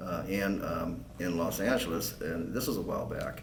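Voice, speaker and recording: A man talks in a fairly low pitch with an American accent and ordinary pitch variation. Noticeable background noise and audible room echo fill the recording. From Southern California desert (San Bernardino County). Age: 60s. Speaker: political candidate. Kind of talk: interview. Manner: halting.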